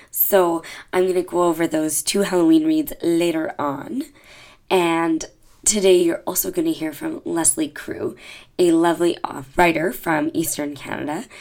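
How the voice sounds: A woman with a low pitch and a slightly mellow tone speaks at a moderate pace with fairly even intonation.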